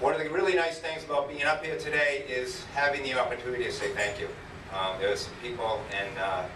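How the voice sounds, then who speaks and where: Over noticeable background noise and audible room echo, a man with a fairly high pitch speaks at a very fast pace with lively intonation. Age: 60s. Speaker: high school running coach. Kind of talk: award acceptance speech. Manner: halting.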